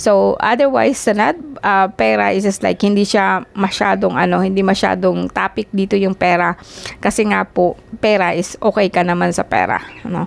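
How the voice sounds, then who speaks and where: Noticeable background noise sits under a woman speaking at medium pitch and a moderate pace. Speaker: tarot card reader. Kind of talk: tarot reading. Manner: halting, many fillers.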